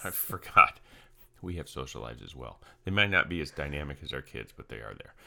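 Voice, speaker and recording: A man speaks at a fairly quick clip in a very deep, low voice with vocal fry, a bright, sharp tone, lively intonation and big swings in loudness, on a very clean recording with a silent background. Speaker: podcast host and coach. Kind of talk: casual chat. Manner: laughing, playful.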